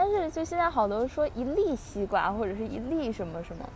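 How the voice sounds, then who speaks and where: A woman's high voice swings very widely in pitch against noticeable background noise. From Beijing, northern China. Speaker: podcast host. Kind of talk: casual chat.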